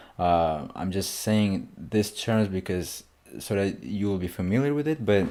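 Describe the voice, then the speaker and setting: A man with a non-native accent speaks with a fairly low pitch, a dark, mellow tone, and ordinary pitch variation. The recording is very clean, the background silent. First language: not English. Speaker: music reaction youtuber. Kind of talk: casual album reaction.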